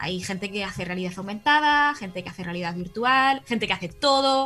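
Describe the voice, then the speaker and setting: A woman with a Spanish accent talks at a fairly quick pace. Music plays in the background. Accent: Spanish (Spain). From Spain. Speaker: audiovisual communicator and startup co-founder. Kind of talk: casual interview.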